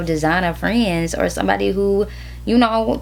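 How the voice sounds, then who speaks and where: A woman speaks with audible room echo. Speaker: fashion designer vlogger. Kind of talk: casual vlog.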